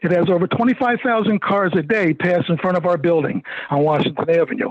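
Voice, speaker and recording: A man with an American accent speaks at a high pitch with ordinary variation. Noticeable background noise can be heard. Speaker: property owner speaking at public hearing. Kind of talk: public comment at council meeting. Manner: fast; halting.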